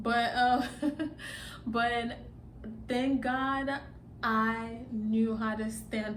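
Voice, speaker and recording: A woman with a slight Nigerian accent speaks at a fairly high pitch with fairly even intonation, and audible room echo surrounds her voice. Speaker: vlogger. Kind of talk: casual vlog monologue. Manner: halting, many fillers.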